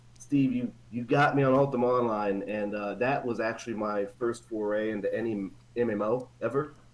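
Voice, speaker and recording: Medium-pitched man with fairly even intonation amid noticeable background noise. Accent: American. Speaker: old school friend of the host. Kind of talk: casual chat. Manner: fast.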